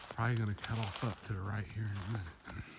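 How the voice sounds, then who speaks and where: A man speaks at a fairly quick pace in a fairly low, flat monotone. Background noise is noticeable. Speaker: hunting vlogger. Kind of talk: outdoor vlog narration. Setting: outdoors in the woods. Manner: whispering.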